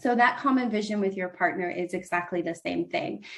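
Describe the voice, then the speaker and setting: The speaker has an unremarkable speaking voice and an American accent. The pace is moderate and the intonation lively. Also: woman. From United States. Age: 30s. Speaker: relationship coach. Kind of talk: podcast interview.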